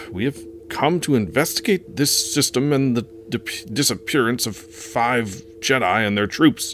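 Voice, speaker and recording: Putting on a shaky character voice at medium pitch, a man speaks at a moderate pace against clear background noise. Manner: shaky, nervous.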